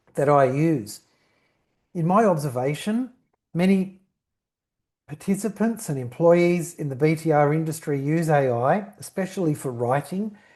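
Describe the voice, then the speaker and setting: A man with an Australian accent speaks in a fairly high pitch for a man, his tone dark and mellow. His pitch varies in an ordinary way against a quiet background. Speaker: company founder and CEO. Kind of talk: webinar presentation. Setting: online webinar. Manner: structured, talks in bullet points.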